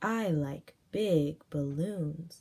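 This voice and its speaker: Using a put-on character voice, the female-sounding speaker pitches it fairly low for a woman. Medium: read story.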